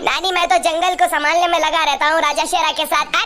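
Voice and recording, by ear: This is a cartoonish character voice. It rattles along very fast over clear background noise.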